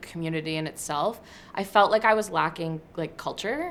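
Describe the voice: A woman's fairly bright tone carries ordinary pitch variation.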